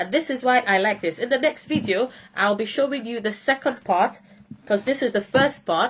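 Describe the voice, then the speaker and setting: This woman's voice sits fairly high. The pitch shifts ordinarily. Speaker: phonics educator. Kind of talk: tutorial. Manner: trying to speak slowly.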